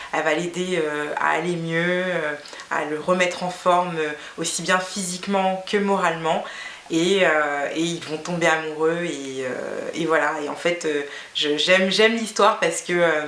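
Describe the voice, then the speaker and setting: Through audible room echo and noticeable background noise, a woman speaks at a fairly slow pace in a fairly low pitch with fairly even intonation. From Guinea. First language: Fula (speaking French). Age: 30s. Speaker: beauty vlogger. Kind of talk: casual vlog monologue. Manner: hesitant, many fillers.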